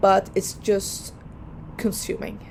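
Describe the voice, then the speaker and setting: A woman speaks with a Dutch accent. Her pitch is medium and her pace fairly slow. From Netherlands. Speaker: lawyer and vlogger. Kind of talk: personal vlog advice. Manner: hesitant, many fillers.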